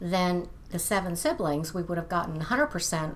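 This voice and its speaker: Speaking at a fairly quick pace, a woman uses a normal speaking voice set at a fairly low pitch. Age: 60s. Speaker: lifestyle vlogger. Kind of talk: casual video monologue. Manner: conversational, with fillers.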